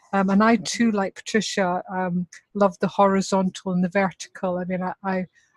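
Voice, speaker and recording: A Scottish accent in a monotone, flat intonation at a moderate pace, with a dry, close sound and no echo. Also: woman, medium pitch for a woman. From Scotland. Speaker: workshop participant. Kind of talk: group feedback sharing.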